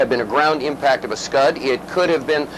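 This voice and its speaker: Very fast speech over noticeable background noise. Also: man. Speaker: television war correspondent reporting live. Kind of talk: live broadcast news field report. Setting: reporting from the field during air raid sirens. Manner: hesitant, frequent fillers, uncertain but calm.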